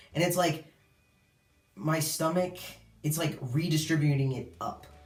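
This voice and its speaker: Over audible room echo, a man talks at a moderate pace and a fairly high pitch. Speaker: video blogger sharing transition update. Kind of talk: casual vlog. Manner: casual, filler-heavy.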